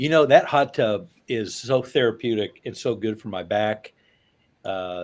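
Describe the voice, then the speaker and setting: On a very clean recording with a silent background, a man speaks in a plain, everyday voice at medium pitch and a fairly slow pace. His pitch varies in an ordinary way while his loudness swings widely. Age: 60s. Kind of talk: casual chat.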